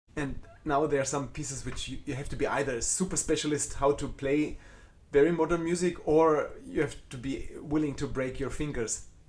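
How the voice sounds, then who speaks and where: This voice, in a German accent, keeps a moderate pace with fairly even intonation. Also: man, fairly high pitch for a man. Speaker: concert cellist. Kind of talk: live Q&A chat. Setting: live video stream from home. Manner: halting, with repeated false starts.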